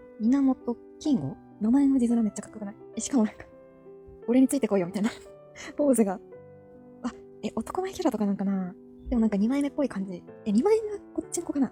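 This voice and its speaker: A woman mumbles at a very fast pace with a fairly high pitch and lively intonation. She leaves long, frequent pauses while music plays in the background. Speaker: anime fan hobby YouTuber. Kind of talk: casual commentary while browsing character list. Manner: mumbling, low-key.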